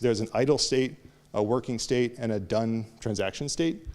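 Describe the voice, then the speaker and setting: On a very clean recording with a silent background, a man talks at a fairly quick pace and a medium pitch. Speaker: conference speaker. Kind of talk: technical lecture. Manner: fast; halting, many fillers.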